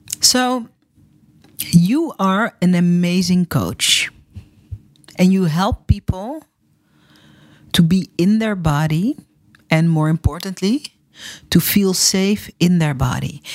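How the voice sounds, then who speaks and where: With a Dutch accent, the speaker goes at a very slow pace with long, frequent pauses and lively intonation, in a dry, close sound with no echo. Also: woman, medium pitch for a woman. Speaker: podcast host, storytelling coach for entrepreneurs. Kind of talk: interview.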